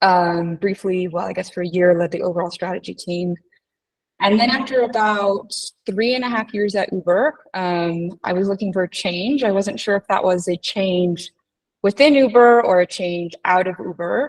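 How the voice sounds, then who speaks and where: A woman with a normal speaking voice talks in an American accent at a moderate pace and medium pitch, with ordinary pitch variation and a dry, close sound with no echo. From United States. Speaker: strategy consultant. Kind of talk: interview.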